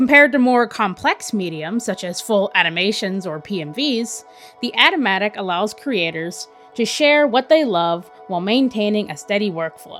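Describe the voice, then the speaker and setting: Music plays behind a woman talking at a moderate pace. Her voice is medium in pitch with very wide pitch swings. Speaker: animator, artist. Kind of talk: YouTube voiceover narration.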